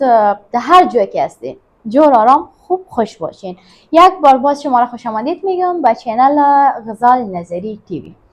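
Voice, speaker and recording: The voice moves through very wide pitch swings and big swings in loudness. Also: woman. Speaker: YouTube presenter. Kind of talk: casual chat. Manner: fast, talkative.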